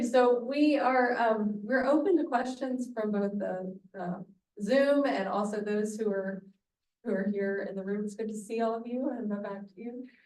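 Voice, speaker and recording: Using an Alabama accent, a woman speaks at a moderate pace in a fairly high pitch with big swings in loudness. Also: ordinary pitch variation. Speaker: guest curator and moderator. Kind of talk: moderated discussion. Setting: hybrid event with room audience and Zoom.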